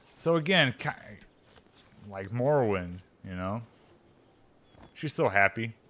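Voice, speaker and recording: At a fairly slow pace, a man speaks at a medium pitch with a bright, sharp tone, big swings in loudness and long, frequent pauses. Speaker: gaming streamer. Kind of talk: let's play commentary. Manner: rambling with fillers.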